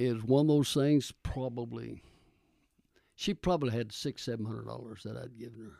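A dark, mellow voice speaks in a Texan accent, with ordinary pitch variation. The recording is very clean, with a silent background. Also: man. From Texas. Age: 80s+. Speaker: retired pastor. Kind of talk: casual interview.

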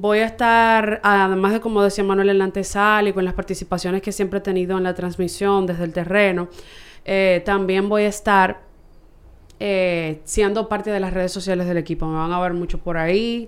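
This woman talks at a moderate pace. Her delivery is monotone and flat. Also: medium pitch for a woman. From Santo Domingo, Dominican Republic. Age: 20s. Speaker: baseball team communications staffer. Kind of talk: casual chat.

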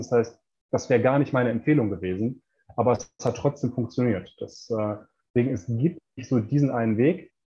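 A man speaks at a fairly quick pace and a medium pitch, with ordinary pitch variation. His tone is dark and mellow, and somewhat breathy. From Ruhr area, Germany (Bochum). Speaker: performance coach and author. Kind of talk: interview. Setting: remote call from Mexico.

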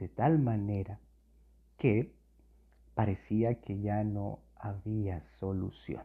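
With long, frequent pauses, a man speaks at a very slow pace in a fairly low pitch with ordinary pitch variation. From Colombia. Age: 40s. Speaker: youth pastor. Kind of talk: sermon.

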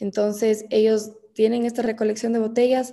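Her voice has a dark, mellow tone and a fairly high pitch for a woman, delivered in monotone, flat intonation. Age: 20s. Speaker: entrepreneur, brand founder. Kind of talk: interview.

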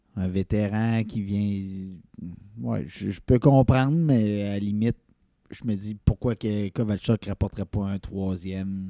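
On a very clean recording with a silent background and a dry, close sound with no echo, a man speaks very slowly at a fairly low pitch in a dark, mellow tone, with ordinary pitch variation and big swings in loudness. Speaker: sports podcast co-host. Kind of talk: casual chat.

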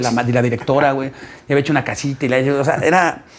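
A man with a fairly high pitch races along at a very fast pace while noticeable background noise plays behind him. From Mexico, Ciudad Satélite (Mexico City area). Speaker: stand-up comedian. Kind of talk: casual chat.

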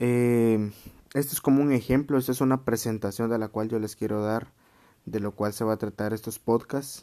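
The man's tone is dark and mellow, and his intonation stays fairly even. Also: medium pitch for a man, moderate pace. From Guatemala. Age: 20s. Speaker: podcaster. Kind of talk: solo podcast monologue. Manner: casual.

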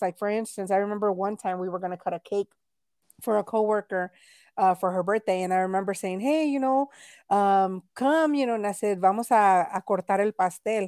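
In a very clean recording with a silent background and a dry, close sound without echo, a woman uses an ordinary speaking voice at a medium pitch and moderate pace. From Texas, Mexican-American family. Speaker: podcast co-host. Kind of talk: casual chat.

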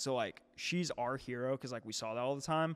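A man with an American accent talks at a moderate pace in an ordinary speaking voice, with medium pitch and ordinary pitch variation. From St. Louis area, Missouri. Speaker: fitness coach. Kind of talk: casual chat.

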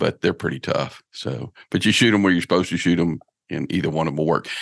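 A man speaks at a very deep, low pitch. The sound is dry and close with no echo, and the background is quiet. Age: 50s. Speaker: bowhunter and outdoor podcast host. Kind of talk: casual interview chat.

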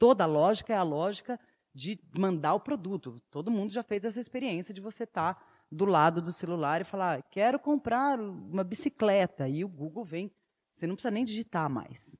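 A normal speaking voice at a moderate pace, with lively intonation and big swings in loudness, on a very clean recording with a silent background and a dry, close sound with no echo. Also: woman, medium pitch for a woman. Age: 40s. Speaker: YouTuber and theatre actress. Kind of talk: panel talk.

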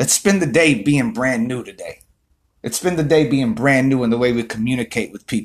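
This man's voice sits at a medium pitch with ordinary pitch variation. He talks at a fairly quick pace, and his loudness swings widely. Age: 30s. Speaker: motivational vlogger. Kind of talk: motivational monologue. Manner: animated.

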